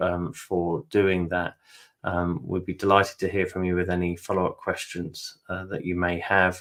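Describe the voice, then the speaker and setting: Very deep and low, a man's voice with a British accent moves at a fairly slow pace in a monotone with flat intonation. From UK. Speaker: webinar host and interviewer. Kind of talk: webinar hosting. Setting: online webinar. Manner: hesitant, many fillers.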